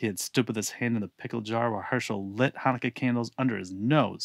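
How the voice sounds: Just a natural reading voice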